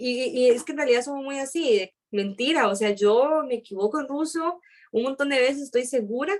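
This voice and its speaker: A woman with a Costa Rican accent speaks at a high pitch with lively intonation. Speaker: aerospace engineering student. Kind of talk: interview. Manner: fast.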